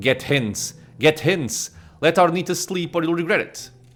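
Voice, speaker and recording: Over background music, a man puts on a character voice with a high pitch. He speaks at a moderate pace, and there is hissing. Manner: hissing, warning.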